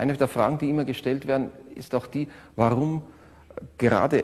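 A man speaks with a German accent. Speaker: orchestra musician. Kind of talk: interview reminiscence.

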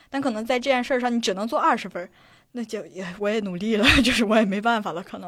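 A woman speaks at a very fast pace with fairly high pitch and ordinary pitch variation. Her loudness swings widely. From Shanxi, China. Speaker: laid-off internet company employee. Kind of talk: casual chat. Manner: frequent laughter.

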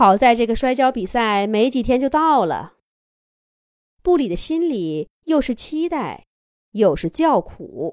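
In a very clean recording with a silent background, a woman speaks at a fairly high pitch with big pitch swings and a slightly mellow tone. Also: fairly slow pace.

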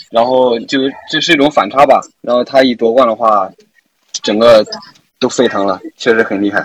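A man speaks at a moderate pace and medium pitch with fairly even intonation, leaving long, frequent pauses. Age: young. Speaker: university student, gamer. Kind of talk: casual chat.

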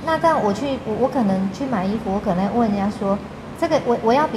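Speaking in a Taiwanese accent, a woman of medium pitch moves at a fairly quick pace. Her intonation is lively, over noticeable background noise. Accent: Taiwanese Mandarin. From central Taiwan, rural. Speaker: blind trainer and traveler. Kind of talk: casual interview chat.

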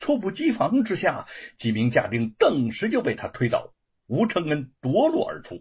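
Someone reads aloud in a natural voice while the background stays quiet.

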